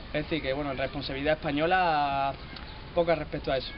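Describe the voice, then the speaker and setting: Here a man talks at a moderate speed. Behind him, background noise is noticeable. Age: young. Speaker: interviewee. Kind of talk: street interview. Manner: casual, animated.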